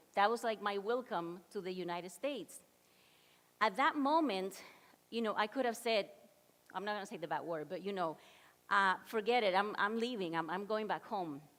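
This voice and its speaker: In a Spanish accent, the speaker uses lively intonation at a moderate pace. Long pauses come often. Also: woman, medium pitch for a woman. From Dominican Republic. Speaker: motivational speaker. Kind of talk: keynote talk.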